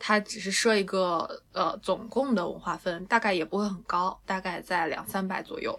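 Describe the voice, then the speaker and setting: With noticeable background noise behind her, a woman talks at a moderate pace with hardly any pauses, her medium pitch and fairly even intonation. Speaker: dance teacher. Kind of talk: casual chat.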